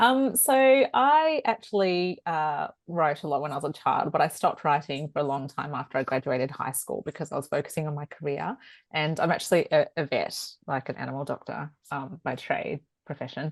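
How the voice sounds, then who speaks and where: At a moderate pace and with a strong Australian accent, a woman speaks over a quiet background. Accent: broad Australian. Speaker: author and veterinarian. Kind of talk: panel discussion. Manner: hesitant with many fillers.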